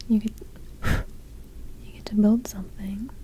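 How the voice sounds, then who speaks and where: The voice is soft-spoken and whispering. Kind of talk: ASMR ramble. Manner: whispered, soft-spoken; slightly hyperactive, chatty.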